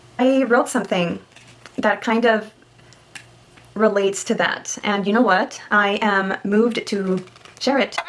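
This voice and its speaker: A woman talks at a fairly slow pace and a fairly high pitch, with fairly even intonation and very even loudness. Long pauses come often, with noticeable background noise. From Mexico. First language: Spanish. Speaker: vlogger. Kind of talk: casual vlog.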